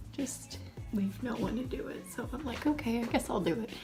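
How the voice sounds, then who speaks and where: A woman whispering at a fairly quick pace, music in the background. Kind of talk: casual talk to camera, makeup tutorial. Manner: whispered.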